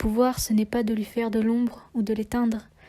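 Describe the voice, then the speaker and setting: Somewhat breathy and dark, mellow in tone, a woman speaks at a fairly slow pace in a fairly high pitch with monotone, flat intonation. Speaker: poet. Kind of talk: slam poetry reading.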